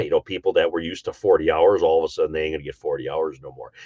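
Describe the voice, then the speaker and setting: The sound is dry and close with no echo. A man is the one talking. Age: 60s. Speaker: livestream host. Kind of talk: casual livestream chat. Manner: halting, many fillers.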